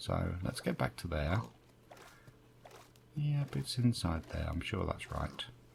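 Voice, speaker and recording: A man with a British accent talks at a fairly slow pace, his pitch swinging very widely. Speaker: gaming youtuber. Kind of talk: gameplay commentary. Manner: casual, chatty with fillers.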